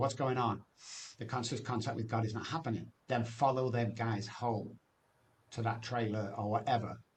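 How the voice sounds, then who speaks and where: A man with an English accent speaks in a somewhat breathy voice. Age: 60s. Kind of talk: testimony.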